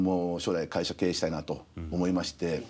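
A man speaks with a dark, mellow tone. His pace is fairly quick. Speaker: restaurant company CEO; guest. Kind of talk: TV interview. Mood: friendly, smiling. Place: studio. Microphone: lapel.

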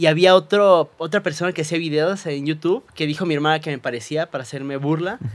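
A man talks at a very fast pace with hardly any pauses. His pitch is fairly high. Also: ordinary pitch variation. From Cuernavaca, Mexico; Mexico. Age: 30s. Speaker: physician and social media creator; social media creator. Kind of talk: testimony. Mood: earnest, recounting painful loss. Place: studio. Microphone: studio mic.

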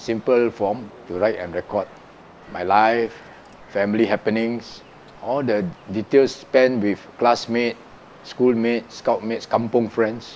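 A man with a Singaporean accent and a medium pitch talks at a fairly slow pace with fairly even intonation and long, frequent pauses, with light background noise behind him. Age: 60s. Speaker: retired musician, teacher and blogger. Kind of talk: interview answer. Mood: warm, reflective. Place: home room. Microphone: lapel.

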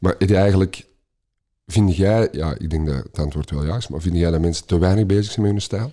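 At a fairly quick pace, a man with a very deep, low pitch and a dark, mellow tone speaks with ordinary pitch variation on a very clean recording with a silent background. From Belgium, Antwerp. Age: 50s. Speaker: podcast host. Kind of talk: casual interview.

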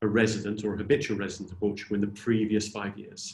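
With a British accent, a man speaks at a fairly quick pace in a somewhat breathy, fairly low voice. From Britain. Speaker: tax adviser; presenter. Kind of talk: webinar presentation. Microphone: video call.

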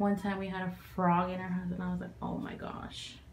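A woman speaks at a fairly slow pace, with light background noise. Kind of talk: casual vlog chat. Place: bathroom.

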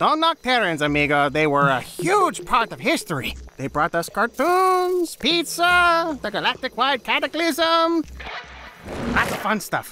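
An extremely high-pitched man uses a raised, projected voice with very wide pitch swings. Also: moderate pace. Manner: brash, excitable, joking.

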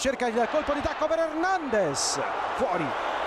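A man speaks with an animated, passionate tone and ordinary pitch variation. Noticeable background noise is present. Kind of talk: live sports commentary on a football match. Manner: rapid-fire, excitable, rising to a shout on goals with repeated player names; animated, breathless play-by-play, passionate.

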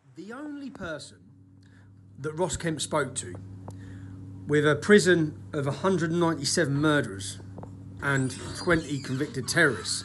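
With lively intonation and vocal fry, a man speaks at a moderate pace, leaving long, frequent pauses over light background noise. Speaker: activist commenting on a documentary. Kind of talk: casual selfie rant. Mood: indignant, sometimes laughing. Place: gym. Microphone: phone near.

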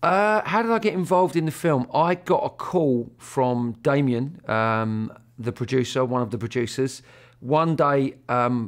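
The background is silent. A man delivers his words at a fairly slow pace. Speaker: actor. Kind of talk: interview answer. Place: hall.

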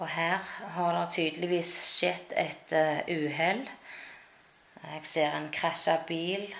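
This woman's pitch is very deep and low. She speaks at a very slow pace over noticeable background noise. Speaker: language teacher. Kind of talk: language lesson explaining pictures.

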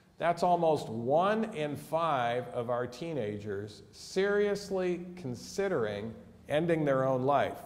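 Very wide pitch swings mark this man's speech in an American accent, delivered at a very slow pace. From USA. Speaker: physician and mental health educator. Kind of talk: lecture. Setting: church hall with audience. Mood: earnest, concerned. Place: hall.

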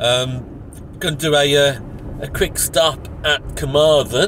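A man's fairly even intonation comes through noticeable background noise in a dry sound with no echo. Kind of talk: casual vlog chat. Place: car. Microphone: phone near.

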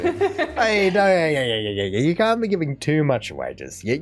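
Here is a man with an Australian accent. He speaks at a very fast pace. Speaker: reaction video host. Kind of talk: casual talk to camera. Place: home room.

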